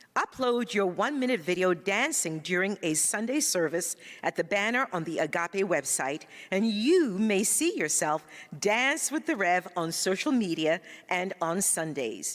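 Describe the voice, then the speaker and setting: A woman's medium-pitched voice at a fairly slow pace, with very wide pitch swings and very even loudness. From Ghana. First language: Ga. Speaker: spiritual practitioner, church announcer. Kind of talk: church announcements; greeting to congregation.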